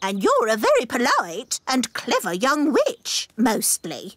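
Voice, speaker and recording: A cartoonish character voice delivers its lines at a fairly high pitch and a fairly slow pace. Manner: stern, easily offended.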